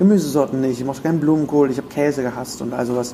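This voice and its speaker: Fairly even intonation from a man, noticeable background noise around him. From Germany (rural). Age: 30s. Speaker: podcaster and voice actor. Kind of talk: interview. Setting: hotel room.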